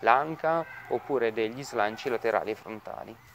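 With light background noise behind him, a man talks at a moderate pace. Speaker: fitness instructor. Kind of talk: tutorial. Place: garden.

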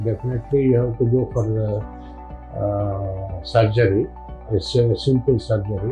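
Lively intonation at a fairly slow pace, with clear music in the background. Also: man, fairly low pitch for a man. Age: 70s. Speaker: retired college lecturer. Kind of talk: patient testimonial. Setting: hospital. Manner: hesitant, many fillers.

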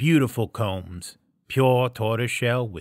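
In plain reading aloud, the intonation stays fairly even over a quiet background.

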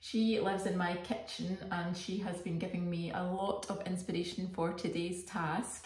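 A woman at a fairly slow pace with audible room echo. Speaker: arts activity host. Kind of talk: casual craft tutorial chat. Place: kitchen. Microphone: phone near.

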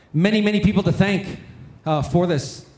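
A man with a high-pitched voice speaks amid audible room echo. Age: 40s. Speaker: conference emcee and storyteller. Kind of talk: emcee announcements and closing remarks. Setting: stage with audience. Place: hall. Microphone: handheld.

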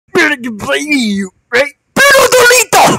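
This put-on character voice is high-pitched and moves at a moderate pace. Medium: machinima. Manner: manic, mocking.

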